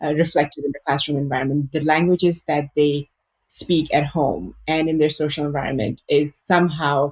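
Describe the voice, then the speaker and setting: Dry, close audio with no echo of a woman with a very deep, low pitch, fairly even intonation and a moderate pace. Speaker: early childhood educator. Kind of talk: podcast interview.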